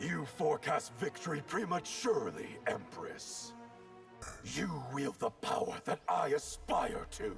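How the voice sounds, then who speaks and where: A man does a cartoonish character voice at a fairly slow pace. Music is clearly heard in the background. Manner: cold, contemptuous.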